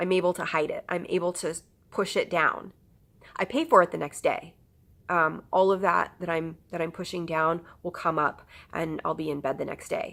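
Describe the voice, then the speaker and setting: A woman's fairly low, monotone voice at a moderate pace, on a very clean recording with a silent background. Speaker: patient vlogger with chronic illness. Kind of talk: personal vlog testimony. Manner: hesitant, many fillers.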